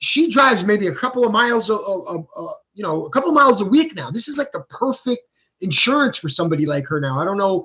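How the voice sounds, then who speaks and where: Speaking very fast, a man lets his pitch leap widely up and down. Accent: New Jersey. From New Jersey. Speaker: stock market youtuber. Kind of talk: live stream stock talk. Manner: halting, many repeated words and fillers; casual, animated.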